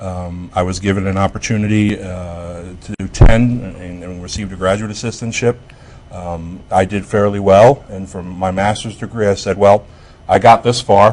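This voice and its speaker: The speaker has an American accent and a moderate pace, with fairly even intonation. Loudness swings widely, and background noise is noticeable. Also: man, fairly low pitch for a man. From New Jersey, Jersey City. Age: 40s. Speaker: university administrator and political science professor. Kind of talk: interview on education talk show. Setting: studio. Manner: hesitant with many fillers.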